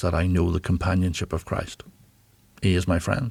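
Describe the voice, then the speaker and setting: A man with a Northern Irish accent speaks at a very deep, low pitch. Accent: Northern Irish (Belfast). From Northern Ireland, Belfast. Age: 60s. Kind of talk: interview. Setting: studio. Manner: halting.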